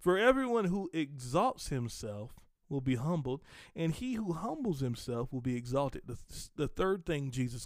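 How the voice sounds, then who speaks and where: On a very clean recording with a silent background, a man speaks at a fairly slow pace. His tone is animated, with very wide pitch swings. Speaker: podcast host and preacher. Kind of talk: sermon-style teaching. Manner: animated, conversational.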